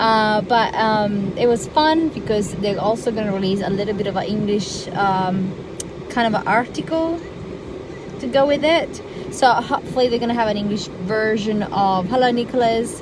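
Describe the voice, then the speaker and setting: Amid noticeable background noise and audible room echo, a woman talks at a moderate pace. Her pitch is fairly high with ordinary variation. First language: Italian. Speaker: live streamer. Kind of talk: casual live stream chat. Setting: parked in a car. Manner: halting with many fillers.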